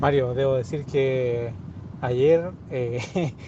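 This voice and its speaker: Over noticeable background noise, a man with a Chilean accent speaks at a fairly high pitch with ordinary variation. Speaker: podcast host. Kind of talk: casual chat.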